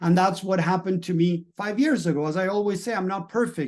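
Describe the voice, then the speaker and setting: In a Spanish accent, a man talks at a fairly quick pace and high pitch with ordinary pitch variation. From Latin America. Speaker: mindset and business coach. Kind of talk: motivational talk.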